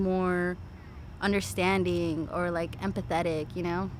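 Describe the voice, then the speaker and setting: Speaking in a Californian accent, a woman uses a medium pitch and fairly even intonation, with audible room echo. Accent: Californian American English. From Los Angeles suburbs, California. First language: Spanish. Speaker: behavior therapist. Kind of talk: casual chat. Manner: heavy filler 'like', casual.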